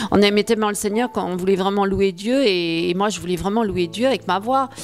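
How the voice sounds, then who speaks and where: Speaking at a fairly quick pace, a woman keeps a medium pitch and fairly even intonation while noticeable background noise runs underneath. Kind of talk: testimony. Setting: video addressed to viewers. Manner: halting, many fillers and repetitions.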